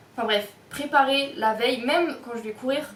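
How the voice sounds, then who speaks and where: Fairly even intonation marks this woman's speech. Audible room echo and noticeable background noise are present. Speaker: lifestyle and triathlon vlogger. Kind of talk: casual vlog talk to camera. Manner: fast.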